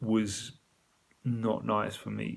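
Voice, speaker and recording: He speaks with a British accent. His pace is very slow. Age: 30s. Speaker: video diarist in addiction recovery. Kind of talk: personal video diary.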